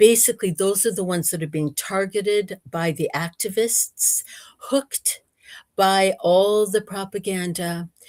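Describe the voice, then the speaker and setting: An ordinary speaking voice with an American accent, a fairly slow pace, ordinary pitch variation and a dry, close sound with no echo. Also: woman, medium pitch for a woman. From United States. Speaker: researcher and speaker. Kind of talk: interview. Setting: livestream.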